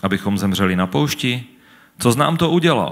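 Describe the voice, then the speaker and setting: Over a quiet background, a man speaks. His pitch swings very widely. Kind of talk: sermon interpretation and scripture reading. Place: church. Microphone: handheld.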